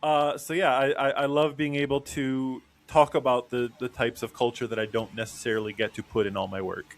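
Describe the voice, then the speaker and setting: Medium-pitched and fairly quick, a man's speech in a normal speaking voice. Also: ordinary pitch variation, hardly any pauses. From Mexican-American, US. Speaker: cartoonist. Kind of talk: casual chat.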